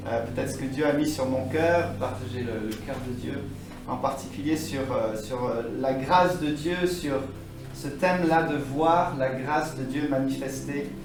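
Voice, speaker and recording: A fairly slow pace with ordinary pitch variation, audible room echo, and music in the background. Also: man, medium pitch for a man. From France. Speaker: guest preacher, church leader. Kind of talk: sermon. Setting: church.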